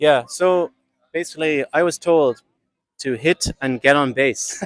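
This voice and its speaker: This man's pitch is fairly high, with ordinary pitch variation. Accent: Irish. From Ireland. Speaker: amateur softball player. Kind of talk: podcast interview.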